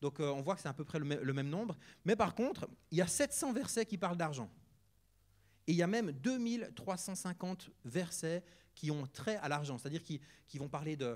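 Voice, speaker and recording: With a Neuchâtel accent, a man speaks at a high pitch and a fairly quick pace. His intonation is lively, broken by long, frequent pauses. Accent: Swiss French, Neuchâtel. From Switzerland, canton of Neuchâtel. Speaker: guest preacher, charity worker. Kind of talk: sermon. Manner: casual, hesitant with many fillers.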